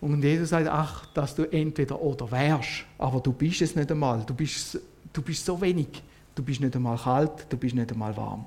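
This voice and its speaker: Speaking at a moderate pace with a Swiss accent, a man uses a fairly high, somewhat breathy voice with ordinary pitch variation. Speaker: lay preacher. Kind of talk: sermon.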